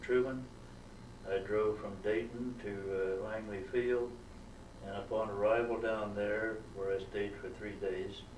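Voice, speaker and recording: Amid noticeable background noise and audible room echo, a man speaks at a fairly slow pace in a monotone, flat intonation with a fairly low pitch. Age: 80s+. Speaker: war veteran. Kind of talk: oral history interview. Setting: museum. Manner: halting, many fillers.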